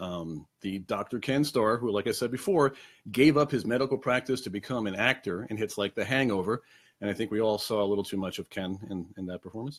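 On a very clean recording with a silent background, a man with a Long Island accent speaks fairly quickly in a fairly low voice with ordinary pitch variation. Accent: New York (Long Island). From Long Island, New York. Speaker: trivia host. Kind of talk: casual live-stream trivia show. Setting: home apartment, webcam stream. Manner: casual, many fillers (um, uh).

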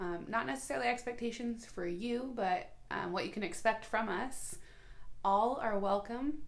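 A woman at a fairly high pitch and moderate pace, lively in intonation, with noticeable background noise. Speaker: podcast co-host. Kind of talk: casual chat. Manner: loud; boisterous.

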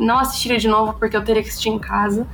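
Over music in the background, a woman speaks with audible room echo. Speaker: podcast host. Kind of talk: casual chat.

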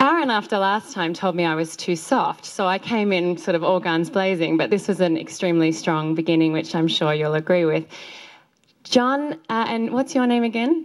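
Speaking at a moderate pace, a woman uses a medium pitch. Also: lively intonation. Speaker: public speaking coach. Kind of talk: presentation feedback. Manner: energetic.

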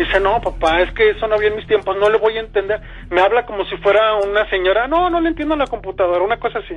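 Lively in intonation and high-pitched, a man speaks at a very fast pace. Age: 30s. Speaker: caller. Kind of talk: testimony. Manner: halting.

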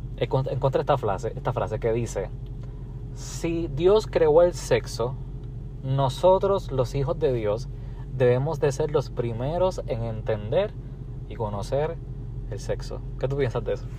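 A man at a fairly slow pace, long, frequent pauses and noticeable background noise. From Puerto Rico. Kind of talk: casual chat.

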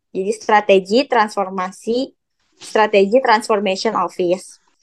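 A woman with a West Javanese accent speaks very slowly in a monotone, flat delivery. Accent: Sundanese. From West Java (Bandung). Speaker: university student. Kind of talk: casual chat.

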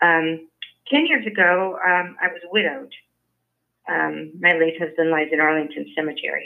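A woman with an American accent and a plain, everyday voice speaks at a moderate pace in a fairly low pitch, with ordinary pitch variation. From Washington, D.C. area. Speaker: civic activist and writer. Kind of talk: interview.

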